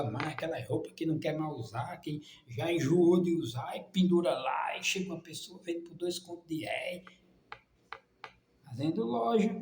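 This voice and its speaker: A man speaks at a fairly slow pace with ordinary pitch variation. Audible room echo and noticeable background noise are present. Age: 60s. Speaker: preacher. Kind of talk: sermon. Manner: animated.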